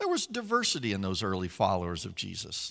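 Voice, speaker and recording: A man with an American accent makes very wide pitch swings in a very clean recording with a silent background. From West Virginia. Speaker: pastor. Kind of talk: sermon. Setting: church. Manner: repeats words when starting sentences.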